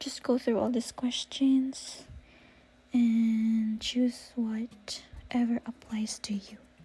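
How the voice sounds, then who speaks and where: Whispering quietly, a woman speaks at a very slow pace. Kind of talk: screen-recorded tutorial narration. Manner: quiet, near whisper in parts.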